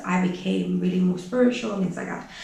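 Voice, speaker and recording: A woman at a medium pitch is heard with audible room echo. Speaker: online business coach and vlogger. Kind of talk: casual vlog monologue. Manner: fast.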